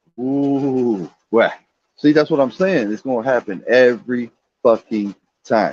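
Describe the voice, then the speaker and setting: The sound is dry and close with no echo. A man of medium pitch speaks in an animated tone with ordinary pitch variation. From Baltimore, Maryland. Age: 50s. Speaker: livestreamer. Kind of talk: casual rant.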